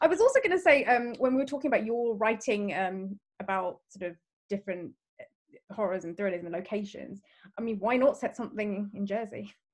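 An ordinary speaking voice from a woman, fairly high in pitch, at a fairly quick pace with ordinary pitch variation. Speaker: podcast host. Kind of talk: casual chat.

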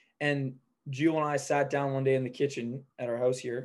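This is a man with a normal speaking voice. His pitch is medium and his intonation fairly even. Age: 20s. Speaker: window cleaning business operator. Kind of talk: casual interview chat.

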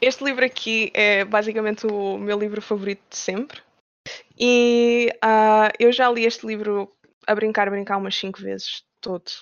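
A woman with a fairly high voice speaks at a fairly slow pace in a monotone, flat intonation. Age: 20s. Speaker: game developer. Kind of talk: interview.

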